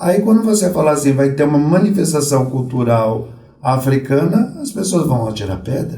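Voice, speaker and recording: With audible room echo, a man speaks at a moderate pace in a dark, mellow, somewhat breathy tone, his pitch fairly high for a man and marked by very wide pitch swings. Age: 60s. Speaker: Umbanda priest. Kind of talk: podcast interview.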